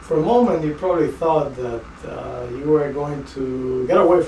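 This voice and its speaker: Noticeable background noise sits behind a man with a Spanish accent. His pitch is fairly high, with ordinary variation. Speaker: project manager. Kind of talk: casual talk to camera. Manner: playful.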